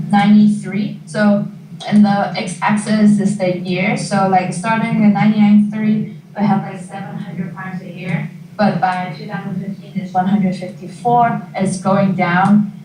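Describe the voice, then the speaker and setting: A woman with a medium pitch speaks at a moderate pace with monotone, flat intonation, amid light background noise and audible room echo. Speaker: graduate student presenter; presenter. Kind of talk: informational presentation. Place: classroom. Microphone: camera far.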